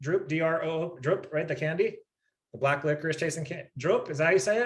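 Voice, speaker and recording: A man with an American accent at a very fast pace. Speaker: network marketing team leader. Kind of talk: live Q&A session. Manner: animated, repetitive.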